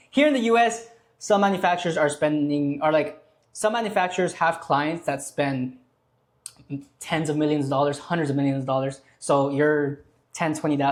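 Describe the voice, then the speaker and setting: The recording is very clean with a silent background. A man speaks at a fairly high pitch with ordinary pitch variation. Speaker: online business creator. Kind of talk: tutorial. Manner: fast; casual.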